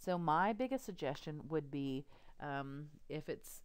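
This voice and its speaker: The delivery is at a fairly slow pace. The speaker has a Texas accent. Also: woman. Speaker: radiography instructor. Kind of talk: lecture. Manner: hesitant, frequent ums.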